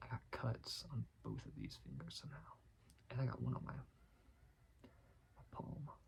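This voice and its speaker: Whispering at a moderate pace. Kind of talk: ASMR soft-spoken ramble. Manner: soft-spoken.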